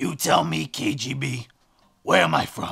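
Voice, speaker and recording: A man adopts a raspy, put-on character voice, pitched in the medium range and delivered at a moderate pace. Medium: comedy sketch. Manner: evasive, abrupt.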